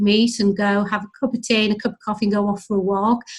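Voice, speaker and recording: On a very clean recording with a silent background, a woman speaks somewhat breathily at a fairly quick pace. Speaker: health and wellbeing manager at a charity. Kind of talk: interview. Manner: frequent hesitations (um).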